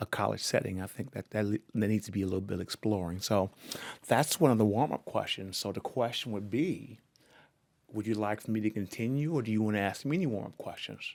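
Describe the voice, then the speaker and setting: A normal speaking voice, a man with an American accent at a fairly low pitch, ordinary pitch variation and a fairly quick pace. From Seattle, US Pacific Northwest. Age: 60s. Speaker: oral history interviewer. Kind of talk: oral history conversation.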